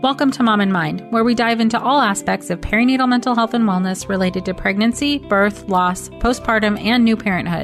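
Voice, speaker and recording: With music in the background, a woman of medium pitch talks at a fairly quick pace with hardly any pauses, ordinary pitch variation and very even loudness. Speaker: podcast host; psychologist. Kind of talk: podcast intro.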